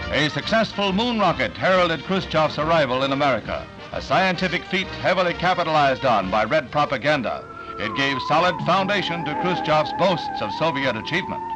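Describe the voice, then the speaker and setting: With music in the background, a man speaks at a fairly quick pace. His pitch is high, with very wide swings. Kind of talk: newsreel narration.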